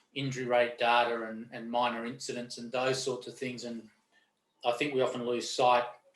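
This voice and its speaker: With an Australian accent, a man of medium pitch speaks at a moderate pace in a monotone, flat intonation, with audible room echo. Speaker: lawyer and safety expert. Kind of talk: interview conversation. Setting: webinar video call. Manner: halting with fillers.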